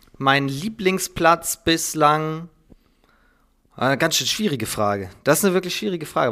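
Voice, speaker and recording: Moderately paced speech from a man, his pitch varying in an ordinary way. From Schleswig-Holstein, northern Germany. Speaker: handball commentator and journalist. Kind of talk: casual interview. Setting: at his desk at home.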